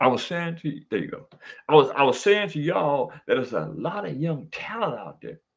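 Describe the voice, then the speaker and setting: This man's fairly high voice carries vocal fry, lively intonation and big swings in loudness at a fairly quick pace. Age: 70s. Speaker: boxing trainer and commentator. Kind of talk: casual chat. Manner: animated; halting.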